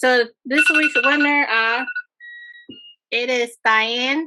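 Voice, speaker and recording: Very slowly and with fairly even intonation, a woman projects a raised voice that is high-pitched, bright and sharp. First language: not English. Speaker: event host. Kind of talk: online event announcements. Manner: halting.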